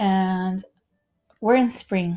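A woman's somewhat breathy, dark, mellow voice at a medium pitch, in a very clean recording with a silent background. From Puerto Rico. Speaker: podcast host, yoga instructor. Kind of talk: casual spiritual monologue.

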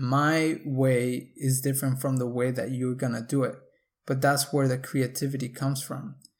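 At a moderate pace and medium pitch, a man speaks with fairly even intonation on a very clean recording with a silent background. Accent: Spanish. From Mexico. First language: Spanish. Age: 20s. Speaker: podcast host. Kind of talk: solo podcast monologue.

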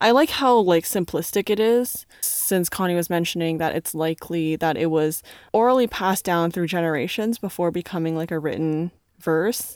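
A woman with a Canadian accent and an unremarkable speaking voice talks at a moderate pace, her fairly low pitch showing ordinary variation. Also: very clean recording, silent background. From Canada. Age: young. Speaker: podcast co-host. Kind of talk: casual chat.

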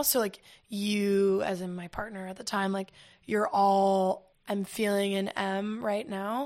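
An ordinary speaking voice at a fairly slow pace. The recording is very clean, with a silent background. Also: woman. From US South. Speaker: singer-songwriter. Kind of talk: casual chat. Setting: in person.

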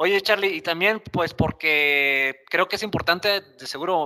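Recorded dry and close with no echo, a man talks at a moderate pace in a high, bright, sharp voice. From Mexico, Monterrey. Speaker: podcast co-host, enterprise architect. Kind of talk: casual chat.

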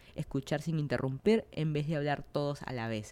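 A woman's dark, mellow voice in a Peruvian accent, with lively intonation and a fairly slow pace. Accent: Peruvian Spanish (Lima). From Peru, Lima. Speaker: podcast host. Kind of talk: casual monologue.

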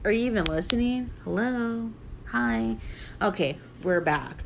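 Over music in the background, a woman at a medium pitch speaks at a very slow pace with very wide pitch swings. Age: 30s. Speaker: podcast host. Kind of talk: casual solo monologue.

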